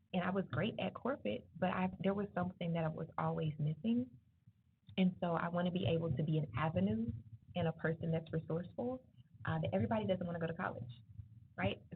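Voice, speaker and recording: Loud and very fast, a woman talks at a fairly low pitch with very wide pitch swings and long, frequent pauses. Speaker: entrepreneur and guest speaker. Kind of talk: motivational talk to students. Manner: animated.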